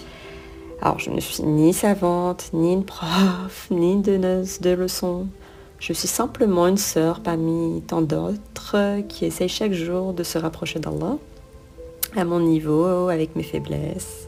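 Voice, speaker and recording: A woman speaks very slowly in a shaky voice against noticeable background noise. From Pakistan. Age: 30s. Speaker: podcast host. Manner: trembling.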